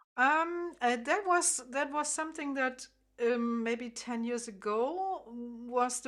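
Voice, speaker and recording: A woman speaks with a German accent at a high pitch and a very slow pace. Her pitch varies in an ordinary way. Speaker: harp teacher. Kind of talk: interview. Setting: video call. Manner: halting.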